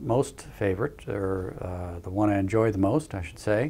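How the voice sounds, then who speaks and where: This very clean recording with a silent background has ordinary pitch variation and a moderate pace. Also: man. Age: 60s. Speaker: facial plastic surgeon. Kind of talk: promotional practice overview. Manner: halting, many fillers.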